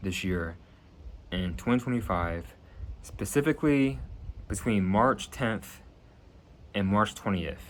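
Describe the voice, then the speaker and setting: In an American accent, a man speaks with fairly low pitch and lively intonation. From New Jersey. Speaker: YouTuber making prediction videos. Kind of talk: casual monologue to camera.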